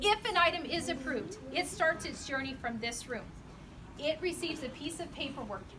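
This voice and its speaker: A woman projects a raised, high-pitched voice with lively intonation at a moderate pace. Room echo is audible. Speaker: company designer giving a facility tour. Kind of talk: guided tour talk to a group. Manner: loud; animated.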